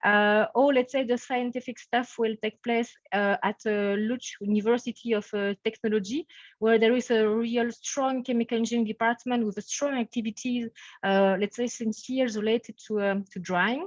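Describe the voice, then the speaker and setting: A woman's fairly high voice with a Belgian French accent, moderate pace and fairly even intonation, dry and close with no echo over a quiet background. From French-speaking Belgium. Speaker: professor. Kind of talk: webinar introduction. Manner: hesitant, many fillers.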